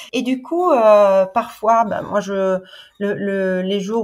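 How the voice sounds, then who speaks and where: The pitch of this woman's voice is medium. It varies in an ordinary way. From Sicily, Italy. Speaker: host mother of au pairs. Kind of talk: podcast interview answer.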